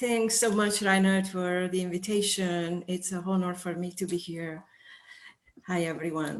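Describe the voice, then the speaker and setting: With an Italian accent, a woman at a medium pitch speaks at a moderate pace in a monotone, flat intonation. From northern Italy. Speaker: sensory expert. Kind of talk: interview. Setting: video call.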